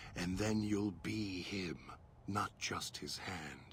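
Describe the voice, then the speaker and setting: A man's put-on character voice, very deep and low in pitch, at a very slow pace, over clear background noise. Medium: short film. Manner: measured, deliberate.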